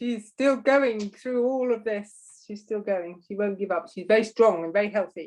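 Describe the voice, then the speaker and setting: With an ordinary speaking voice, a woman talks at a moderate pace in a fairly high pitch, showing ordinary pitch variation and big swings in loudness. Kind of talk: casual conversation.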